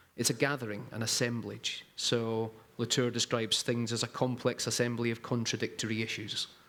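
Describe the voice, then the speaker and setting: With a Scottish accent, a man talks at a medium pitch and a fairly quick pace, in a monotone, flat intonation with hardly any pauses. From Scotland. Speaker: strategic designer. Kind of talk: panel discussion.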